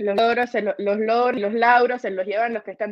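Against a quiet background, a woman speaks fairly quickly in a fairly high voice. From Cuba. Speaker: film producer and new online show host; new online show host. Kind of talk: interview. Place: home room. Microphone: video call.

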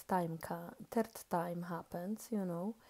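A quiet woman's voice with a dark, mellow tone, fairly even intonation and a fairly slow pace. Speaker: vlogger. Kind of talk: casual monologue vlog. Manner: halting, many fillers.

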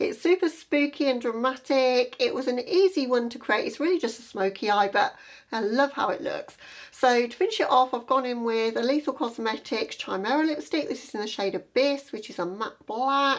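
Fairly quick pace and lively intonation. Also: woman. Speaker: beauty vlogger. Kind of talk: tutorial. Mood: upbeat, pleased. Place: home room.

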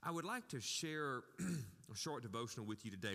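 A man's bright, sharp tone at a moderate pace, with ordinary pitch variation over a quiet background. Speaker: pastor. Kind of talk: sermon. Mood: warm, gentle. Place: church.

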